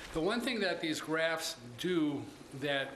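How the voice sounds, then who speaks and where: A man speaks amid audible room echo and light background noise. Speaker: presenter. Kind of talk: meeting report. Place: meeting room. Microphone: podium.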